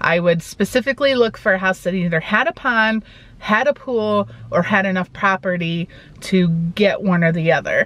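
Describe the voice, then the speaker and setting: A moderate pace with ordinary pitch variation. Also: woman. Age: 40s. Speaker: vlogger. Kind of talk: casual chat. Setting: in a car.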